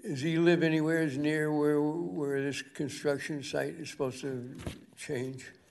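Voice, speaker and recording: Audible room echo surrounds a man speaking at a fairly slow pace in a fairly high pitch with ordinary pitch variation. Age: 80s+. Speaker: public commenter at town meeting. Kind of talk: public comment at planning board meeting.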